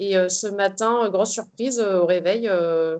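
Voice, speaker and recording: Intonation here is fairly even. Delivery comes at a moderate pace. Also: woman. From northern France, Arras. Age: 30s. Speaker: ultra trail runner. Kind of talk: interview. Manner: hesitant, many fillers.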